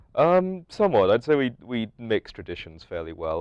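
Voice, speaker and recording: A man speaks at a moderate pace in an English accent. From London, England. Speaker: college student. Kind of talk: interview. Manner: halting.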